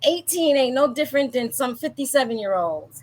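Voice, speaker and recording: A woman's raised, projected voice, high-pitched and bright and sharp in tone, with very wide pitch swings. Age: 50s. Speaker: talk show host, life coach. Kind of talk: casual interview.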